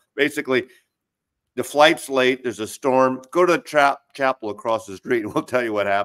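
A man's plain, everyday voice at medium pitch, moderate pace and ordinary pitch variation, heard dry and close with no echo. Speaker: record collector. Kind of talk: casual group chat.

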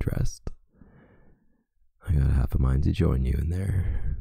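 A soft-spoken man, whispering. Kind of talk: boyfriend roleplay audio. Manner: soft-spoken, whispered; sleepy.

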